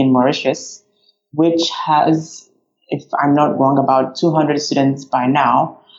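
A woman's very deep, low pitch. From Ghana. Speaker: graphic designer. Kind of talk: interview conversation.

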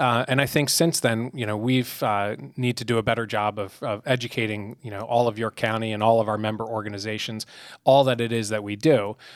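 A fairly quick, fairly even-toned delivery in a plain, everyday voice, with an American accent. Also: man, medium pitch for a man. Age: 30s. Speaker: business organization CEO. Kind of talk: interview. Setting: studio.

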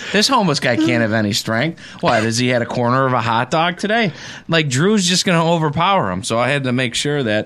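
Lively intonation and very even loudness mark this voice with a Western New York accent, moving at a fairly quick pace. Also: man, medium pitch for a man. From Buffalo, western New York. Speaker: football coach. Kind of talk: casual chat. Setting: studio.

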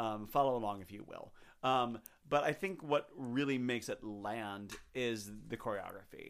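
This is a normal speaking voice at a moderate pace with ordinary pitch variation. Loudness swings widely, and the recording is very clean with a silent background. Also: man, medium pitch for a man. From Chicago. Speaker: podcast guest, theater fan. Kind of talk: casual chat. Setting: home microphone setup.

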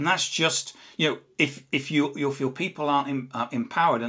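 A man with an English accent speaks at a fairly quick pace in a bright, sharp tone. His pitch varies in an ordinary way, and the recording is very clean with a silent background. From England. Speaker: social selling author and CEO. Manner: halting, repeats words.

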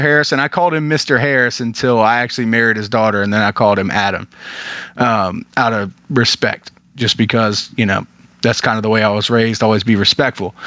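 A man's ordinary speaking voice at medium pitch and a fairly quick pace. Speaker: podcast host. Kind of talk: casual chat.

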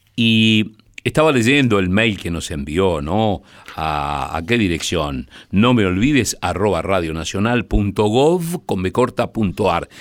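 Lively intonation runs through a man's fairly low-pitched voice at a very slow pace. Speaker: radio host. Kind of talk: late-night radio presenting.

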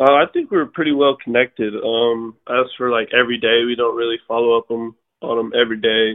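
A normal speaking voice from a man with an American accent, medium in pitch, fairly quick, with fairly even intonation. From New Mexico, US. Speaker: professional baseball pitcher. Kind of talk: interview.

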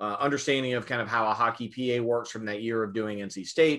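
A plain, everyday voice with an American accent speaks with fairly even intonation. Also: man. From US South, rural southern Virginia. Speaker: arena public address announcer. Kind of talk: interview.

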